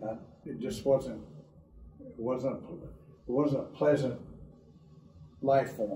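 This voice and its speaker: A man speaks at a medium pitch with ordinary pitch variation and a dark, mellow tone, with vocal fry in his voice. His pace is very slow, with long, frequent pauses and audible room echo. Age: 70s. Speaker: patient, sports coach. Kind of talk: testimony.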